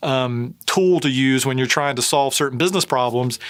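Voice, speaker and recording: Fairly high-pitched male voice with a slight Southern US accent. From US South. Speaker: tech company CEO. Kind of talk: interview. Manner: hesitant with many fillers.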